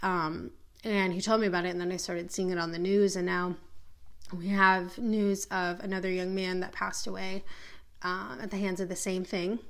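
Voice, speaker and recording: With an American accent, a woman talks at a moderate pace and medium pitch. Audible room echo surrounds her voice. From Minneapolis, US Midwest. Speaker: podcast host and spiritual teacher. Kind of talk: monologue rant. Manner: animated.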